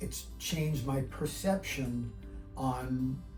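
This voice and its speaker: A man's voice with music in the background. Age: 60s. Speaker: patient. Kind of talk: testimonial interview answer.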